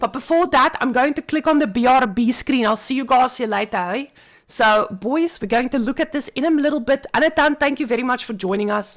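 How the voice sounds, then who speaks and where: With hardly any pauses, a woman talks at a fairly quick pace in a high voice with ordinary pitch variation. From South Africa. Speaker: tournament caster and host. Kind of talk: live stream commentary and interview.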